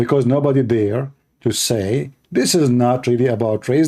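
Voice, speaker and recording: In an Arabic accent, a man speaks with a dark, mellow tone. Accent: clear Arab. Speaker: religious debater, live streamer. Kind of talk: live stream commentary. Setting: live stream with Skype calls. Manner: animated.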